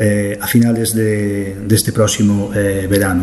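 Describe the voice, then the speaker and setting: Man speaking at a fairly slow pace against noticeable background noise. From Galicia, Arteixo. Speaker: local author and blogger. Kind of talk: interview. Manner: hesitant, many fillers.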